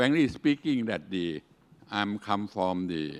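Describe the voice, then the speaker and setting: This man talks very slowly. His voice is fairly low. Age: 70s. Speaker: engineering company CEO, lecturer. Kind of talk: lecture. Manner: halting, broken English.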